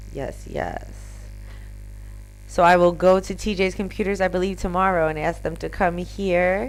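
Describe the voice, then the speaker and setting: Room echo is audible as a woman speaks with a Philadelphia accent. Her pace is moderate. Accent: Philadelphia American English. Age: 30s. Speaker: live streamer. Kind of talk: casual live stream chat.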